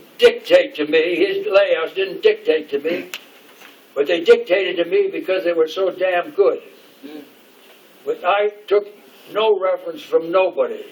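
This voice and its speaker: A man at a fairly slow pace, with long, frequent pauses and noticeable background noise. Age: 80s+. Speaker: retired animation background artist. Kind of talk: informal talk to an audience. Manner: animated; halting.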